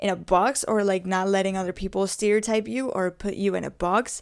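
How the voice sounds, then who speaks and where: In a very clean recording with a silent background, a woman speaks in a Spanish accent with monotone, flat intonation. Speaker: podcaster. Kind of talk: casual solo podcast talk. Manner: halting, many fillers.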